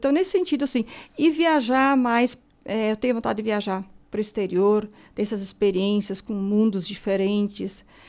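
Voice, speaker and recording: A woman speaks in a plain, everyday voice at a moderate pace, with a fairly high pitch and ordinary pitch variation. The recording is very clean, with a silent background. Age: 60s. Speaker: author. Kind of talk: radio interview.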